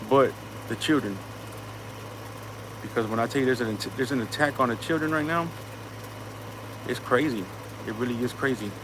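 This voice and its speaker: An animated man with an American accent speaks at medium pitch and a fairly quick pace, with ordinary pitch variation. Long, frequent pauses break up his speech over noticeable background noise. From US, inner city. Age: 30s. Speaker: livestream host. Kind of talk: casual livestream monologue. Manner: animated, repetitive with false starts.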